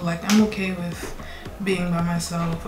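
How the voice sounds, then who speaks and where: A woman speaks at a fairly slow pace with a medium pitch and fairly even intonation, with music in the background and audible room echo. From New York, Brooklyn. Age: 20s. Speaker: beauty vlogger. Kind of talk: casual chat. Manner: casual, hesitant with fillers.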